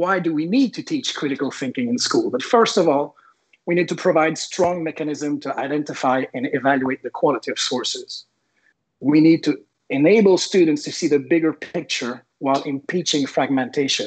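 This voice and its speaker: A man with a Quebec accent, fairly high in pitch, at a moderate pace with ordinary pitch variation. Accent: French Canadian accent in English. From Quebec, Canada (French Canadian, Sherbrooke). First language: French. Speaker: teacher. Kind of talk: presentation. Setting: online event.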